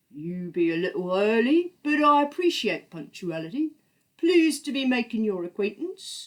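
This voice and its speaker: In a put-on character voice, the speaker goes at a moderate pace with a fairly high pitch and very wide pitch swings. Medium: read story. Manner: solemn, stern, old-fashioned.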